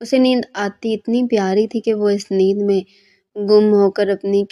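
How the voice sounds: Over a quiet background, someone reads in a natural reading voice with fairly even intonation.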